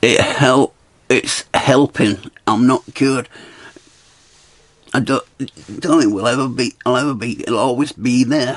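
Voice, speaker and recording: With a Scottish accent, a man at medium pitch speaks at a fairly slow pace with fairly even intonation and long, frequent pauses over noticeable background noise. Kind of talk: casual talk to camera. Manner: rambling, stuttering.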